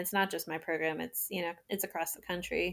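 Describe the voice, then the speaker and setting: A woman with an American accent and a fairly low pitch talks at a fairly quick pace in a monotone, flat intonation. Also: very clean recording, silent background. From US Maryland. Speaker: resident doctor, adoptee. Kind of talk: casual interview chat.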